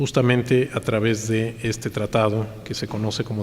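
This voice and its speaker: Amid noticeable background noise, the speech moves at a moderate pace with fairly even intonation. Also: man. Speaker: lecturer. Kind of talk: lecture. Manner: halting with frequent repetitions.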